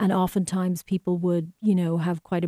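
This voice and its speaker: Speaking at a moderate pace with an Irish accent, a woman with a dark, mellow tone and medium pitch is heard on a very clean recording with a silent background. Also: dry, close sound with no echo. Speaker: filmmaker and professor. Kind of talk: interview about her work and Irish culture.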